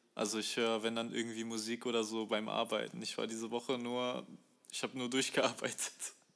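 A man's monotone, flat delivery at a fairly quick pace. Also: medium pitch for a man. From Germany, Bochum (Ruhr area). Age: 20s. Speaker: fashion design student and musician. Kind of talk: casual chat. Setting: video call. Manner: halting, many fillers.

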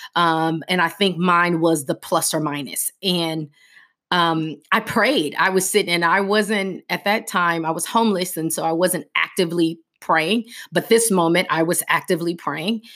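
A woman speaks at a fairly low pitch with a bright, sharp tone and fairly even intonation. The recording is very clean, with a silent background. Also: moderate pace. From US West Coast, South Central Los Angeles. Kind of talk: personal testimony. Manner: halting, many fillers.

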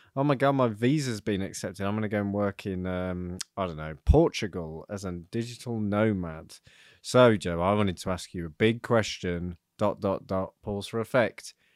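An unremarkable speaking voice comes from a man at a fairly low pitch with ordinary pitch variation and a moderate pace. The very clean recording has a silent background and a dry, close sound with no echo. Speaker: podcast co-host, freelancer. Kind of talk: casual banter chat, comedic.

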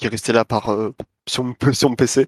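A man speaks with a medium-pitched voice. The sound is dry and close, with no echo. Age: 20s. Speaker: indie game developer. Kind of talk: interview. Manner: hesitant, many fillers.

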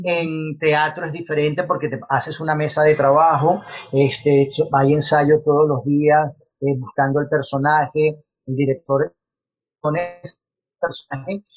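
Music plays in the background as a man talks at a fairly slow pace with a Venezuelan accent. His pitch is fairly high and his intonation fairly even. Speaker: actor. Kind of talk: interview.

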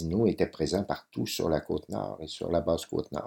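A man speaks in a very deep, low pitch with a dark, mellow tone and vocal fry, at a fairly slow pace with ordinary pitch variation. The recording is very clean, with a silent background. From Quebec, Lac-Saint-Jean. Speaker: photographer. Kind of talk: interview. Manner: hesitant, many fillers and repetitions.

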